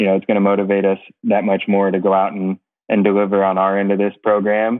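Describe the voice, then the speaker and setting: Very fast pace against a quiet background. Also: man. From United States. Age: 40s. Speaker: racing driver and team owner; podcast guest. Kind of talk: casual interview. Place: home room. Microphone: earbuds.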